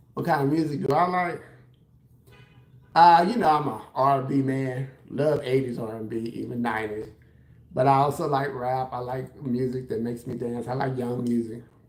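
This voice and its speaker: An American accent at a moderate pace, with fairly even intonation and audible room echo. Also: man, medium pitch for a man. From Texas, San Antonio. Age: 60s. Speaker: hairstylist and livestreamer. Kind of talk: casual livestream chat answering comments. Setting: live stream at home while doing his hair.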